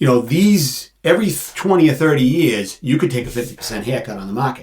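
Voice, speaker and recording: A man's somewhat breathy voice at a very fast pace with lively intonation. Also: medium pitch for a man. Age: 50s. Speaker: financial planner and insurance agent. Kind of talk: casual interview.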